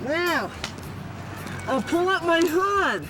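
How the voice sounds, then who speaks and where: A man's raised, projected voice carries over music in the background. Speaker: firefighter. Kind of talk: demonstration for kids. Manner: animated; loud through face mask.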